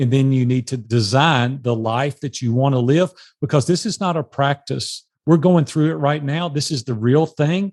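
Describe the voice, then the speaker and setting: This man has a normal speaking voice, fairly high in pitch, with ordinary pitch variation and a moderate pace. He hardly pauses at all, and the sound is dry and close with no echo against a quiet background. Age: 60s. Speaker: life and business coach. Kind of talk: podcast interview.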